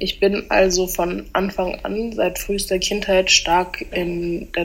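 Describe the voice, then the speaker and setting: This woman talks at a very slow pace. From German-French bilingual household. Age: 20s. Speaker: student. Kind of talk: testimony.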